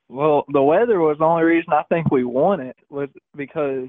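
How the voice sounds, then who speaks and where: At a fairly slow pace, a man with fairly high pitch talks in an ordinary speaking voice. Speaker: bass fishing tournament angler. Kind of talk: casual interview.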